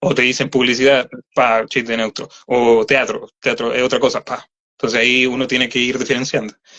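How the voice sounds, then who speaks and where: At a fairly quick pace, a man talks with monotone, flat intonation. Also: medium pitch for a man. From Chile, Santiago metropolitan region. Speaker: voice actor. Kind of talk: interview. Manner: halting.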